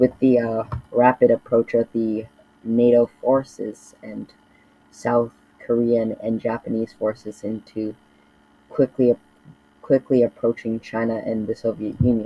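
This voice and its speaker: With monotone, flat intonation, a man speaks at a fairly slow pace, leaving long, frequent pauses. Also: medium pitch for a man. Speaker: mapping video creator. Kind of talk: casual commentary narration. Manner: halting, many fillers.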